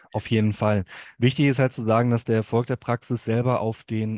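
Over a quiet background, a man speaks fairly quickly at medium pitch in a dark, mellow tone, with monotone, flat intonation and a dry, close sound with no echo. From Hamm, Ruhr area, Germany. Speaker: dental billing consultant. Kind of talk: podcast interview.

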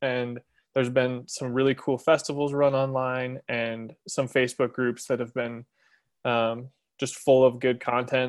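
A man's medium-pitched voice in an American accent, fairly slow and monotone with flat intonation. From Montana. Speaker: bird artist and illustrator. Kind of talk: casual group chat. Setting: video call.

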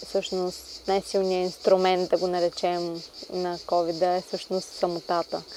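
With noticeable background noise behind her, a woman speaks fairly slowly at a medium pitch in a monotone, flat delivery. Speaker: podcast host. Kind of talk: casual interview chat. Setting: outdoors in a garden.

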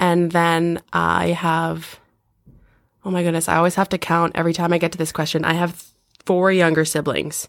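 The loudness stays very even throughout. Intonation is monotone and flat, on a very clean recording with a silent background. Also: woman, fairly low pitch for a woman, moderate pace. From Garden River First Nation, Ontario. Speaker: employment counsellor. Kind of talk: casual chat. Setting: working from home.

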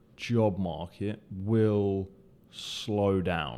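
At a very slow pace, a man with a British accent speaks in a fairly low pitch with a dark, mellow tone and ordinary pitch variation. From UK. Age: 20s. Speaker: podcast host, recruiter. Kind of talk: solo podcast monologue.

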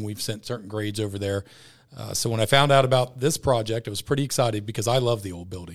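Delivered at a very fast pace with ordinary pitch variation, this clip is a very clean recording over a silent background. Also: man. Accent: American. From Ross, Ohio area (Greater Cincinnati). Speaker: school principal. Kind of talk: casual interview. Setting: studio.

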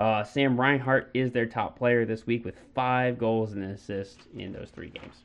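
A man speaks with an unremarkable speaking voice at a medium pitch. His pace is moderate, his intonation fairly even, and he hardly pauses. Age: 30s. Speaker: hockey podcast co-host. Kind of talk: casual chat.

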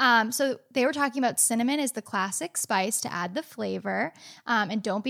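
A woman with an unremarkable speaking voice talks at a fairly quick pace, her fairly high pitch showing ordinary pitch variation, in a very clean recording with a silent background. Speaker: podcast co-host, amateur baker. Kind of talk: live-streamed podcast chat. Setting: live video stream.

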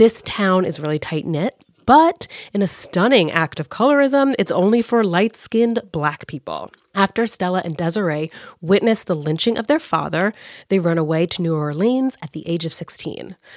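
This woman talks at a moderate pace with a medium pitch and lively intonation. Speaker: podcast host. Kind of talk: casual chat about books. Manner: animated, agreeable.

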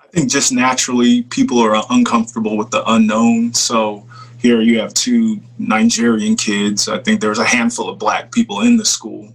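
Over noticeable background noise, a man with an American accent talks at a moderate pace with hardly any pauses. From US Midwest (Papillion, Nebraska). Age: 30s. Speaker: former football player, entrepreneur. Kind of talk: casual interview.

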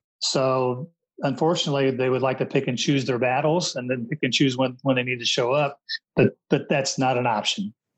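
A man with a plain, everyday voice and an American accent speaks at a medium pitch and a fairly quick pace with fairly even intonation. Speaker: retired police chief. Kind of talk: interview.

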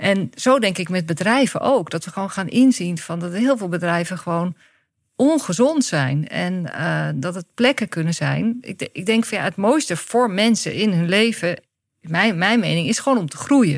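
With a plain, everyday voice, a woman of medium pitch talks at a moderate pace using lively intonation. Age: 50s. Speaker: director of a workshop school. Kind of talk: interview conversation.

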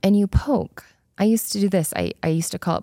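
A dark, mellow voice moves at a fairly quick pace with ordinary pitch variation. The sound is dry and close with no echo, on a very clean recording with a silent background. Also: woman. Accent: American. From Utah, US (Spanish Fork). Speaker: podcast host, former corporate executive. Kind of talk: solo podcast monologue. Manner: casual, conversational.

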